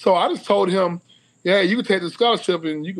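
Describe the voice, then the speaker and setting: Speaking in a Southern US accent, a man with a high pitch keeps a moderate pace. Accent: Southern US (Georgia). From US South (Cedartown, Georgia); Georgia. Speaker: former college football player; guest. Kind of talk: casual interview. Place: home room. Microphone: video call.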